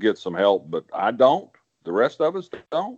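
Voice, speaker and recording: Speaking with an Arkansas accent, a man keeps a fairly slow pace. His intonation is lively. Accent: Southern US (Arkansas). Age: 70s. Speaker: political columnist, regular commentator. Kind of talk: casual political commentary chat. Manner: halting, repeats words.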